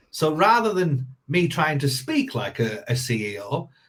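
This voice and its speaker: A man with a northern English accent talks at a fairly slow pace, his voice somewhat breathy. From northern England. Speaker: sales coach. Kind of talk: podcast interview. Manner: hesitant with many repetitions.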